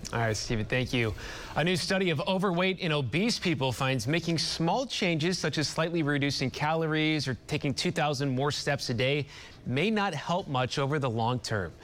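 This man has a normal speaking voice, fairly high in pitch, and talks at a moderate pace with lively intonation. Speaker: TV news anchor. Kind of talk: news reading. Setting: TV studio. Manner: formal, measured newscaster delivery.

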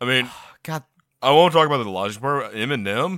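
Bright and sharp in tone, a man talks at a fairly quick pace with vocal fry and very wide pitch swings. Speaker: podcast co-host. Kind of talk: casual chat.

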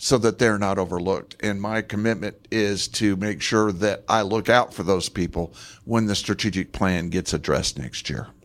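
A man uses an ordinary speaking voice with a fairly low pitch and ordinary pitch variation. The recording is very clean, with a silent background. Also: moderate pace. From Moab, Utah (from Los Angeles as a child). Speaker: city council candidate. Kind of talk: candidate debate. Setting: public library, live radio broadcast with audience.

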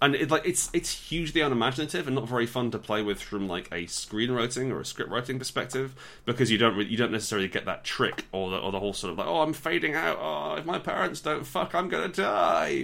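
Talking at a very fast pace with hardly any pauses, a man with an English accent has a medium pitch, very wide pitch swings and a bright, sharp tone. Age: 30s. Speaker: podcast co-host. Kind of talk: casual chat.

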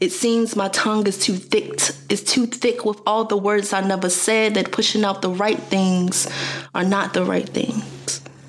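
Her voice sits at a medium pitch with fairly even intonation and very even loudness. The woman speaks at a fairly slow pace over noticeable background noise. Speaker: podcast co-host. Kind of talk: casual chat.

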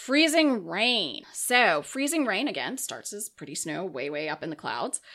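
Very clean recording of a woman in an American accent, against a silent background. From Minnesota, US Upper Midwest. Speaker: county emergency manager. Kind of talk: casual interview. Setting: studio.

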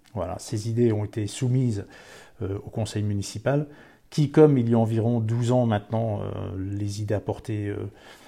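A man speaks in a dark, mellow, somewhat breathy tone at a fairly low pitch and a moderate pace, with fairly even intonation. The recording is very clean, with a silent background. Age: old. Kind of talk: interview testimony. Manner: hesitant, with filler sounds and repetitions.

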